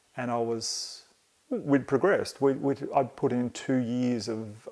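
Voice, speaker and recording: In an Australian accent, a man talks with ordinary pitch variation on a very clean recording with a silent background. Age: 50s. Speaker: podcast host. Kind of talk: solo podcast monologue. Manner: halting, with many fillers.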